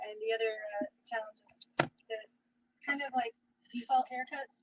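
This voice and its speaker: Over music in the background, a woman with an American accent speaks fairly quickly in a high-pitched voice. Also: dry, close sound with no echo. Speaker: streamer's mother. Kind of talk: casual chat. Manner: soft-spoken. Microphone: too quiet, needs a mic.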